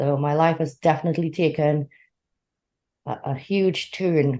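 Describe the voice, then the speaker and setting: Against a quiet background, a woman with a very deep, low voice speaks in a dark, mellow tone with fairly even intonation. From Trinidad and Tobago. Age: 40s. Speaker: entrepreneur and writer. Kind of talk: interview.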